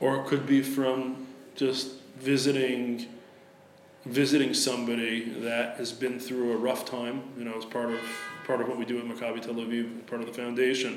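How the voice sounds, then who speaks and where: A man with an American accent speaks at a medium pitch in a monotone, flat delivery, with audible room echo and music playing in the background. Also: moderate pace. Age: 40s. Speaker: sports writer and foundation head. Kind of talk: interview. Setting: in person, Tel Aviv.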